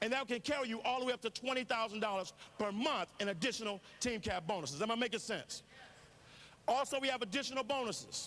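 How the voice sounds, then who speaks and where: A bright, sharp, animated tone at a very fast pace, with ordinary pitch variation. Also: man, extremely high pitch for a man. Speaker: network marketing speaker. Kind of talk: motivational business presentation.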